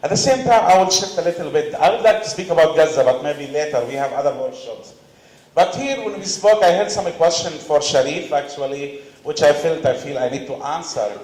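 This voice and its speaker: With a Palestinian accent and lively intonation, a man speaks amid noticeable background noise and audible room echo. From Palestine, West Bank refugee camp. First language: Arabic. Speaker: panelist, activist. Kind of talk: conference panel talk.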